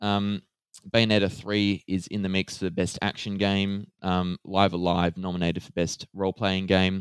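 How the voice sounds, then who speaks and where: In a very clean recording with a silent background and a dry, close sound with no echo, a man with an Australian accent speaks very deep and low at a moderate pace, his intonation monotone and flat but his loudness swinging widely. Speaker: gaming podcast host. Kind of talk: casual chat.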